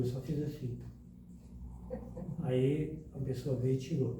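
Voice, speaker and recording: Fairly high male voice amid audible room echo and noticeable background noise. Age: 60s. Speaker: spiritist lecturer. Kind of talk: lecture.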